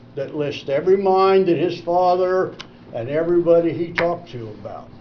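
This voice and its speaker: In a Midwestern US accent, a man speaks at a high pitch. He keeps a moderate pace with ordinary pitch variation. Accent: rural Midwestern US. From Indiana, Vermillion County area. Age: 70s. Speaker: public commenter. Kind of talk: public comment at meeting. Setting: county commissioners meeting. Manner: animated.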